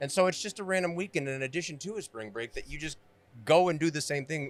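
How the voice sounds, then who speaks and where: Here a man with an American accent speaks in a plain, everyday voice at a fairly high pitch. His pace is fairly quick, with ordinary pitch variation. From Florida, Fort Myers area. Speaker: podcast host. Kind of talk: casual interview chat. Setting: live at motorcycle festival, in a trailer.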